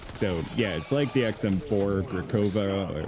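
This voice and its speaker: Lively intonation from a man with a fairly low pitch, music in the background. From Caribbean. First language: not English (multilingual). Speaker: gaming YouTuber. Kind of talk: gameplay commentary. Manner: animated.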